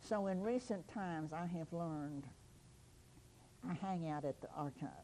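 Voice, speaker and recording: Lively intonation runs through a dark, mellow tone. The pace is moderate. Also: woman, fairly low pitch for a woman. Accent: Kentucky. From Simpson County, Kentucky. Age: 80s+. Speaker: local historian. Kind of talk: oral history interview. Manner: halting.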